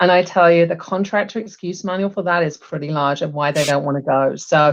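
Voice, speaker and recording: At a moderate pace, a woman speaks. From England, Bristol. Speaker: HR executive. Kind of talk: podcast interview.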